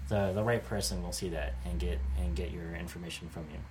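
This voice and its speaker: Somewhat breathy, a man with an American accent speaks amid audible room echo. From United States. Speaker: podcast host. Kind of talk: casual chat.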